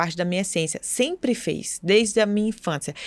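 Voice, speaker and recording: On a very clean recording with a silent background, a woman speaks with a Minas Gerais accent. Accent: Brazilian Portuguese, mineiro. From Brazil, Minas Gerais. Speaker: podcast co-host, image consultant. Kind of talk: casual chat.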